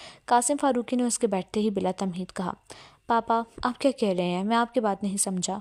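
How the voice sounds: A natural reading voice, its pitch moving in an ordinary way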